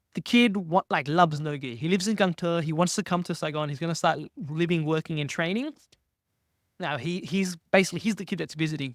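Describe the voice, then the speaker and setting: Loud and animated, a man talks at a fairly quick pace with a high pitch and ordinary pitch variation in a very clean recording with a silent background. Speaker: jiu-jitsu competitor. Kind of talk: casual chat.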